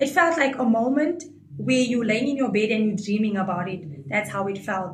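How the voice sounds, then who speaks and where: A woman's animated voice with very wide pitch swings, plus audible room echo. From South Africa, Coloured community. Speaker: reality show contestant. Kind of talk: interview.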